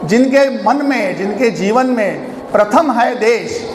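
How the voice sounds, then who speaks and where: Extremely high-pitched for a man, this voice shows ordinary pitch variation, with audible room echo and noticeable background noise. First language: Marathi (speaking Hindi). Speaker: organization publicity head, chief speaker. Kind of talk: speech at annual function. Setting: hall with audience.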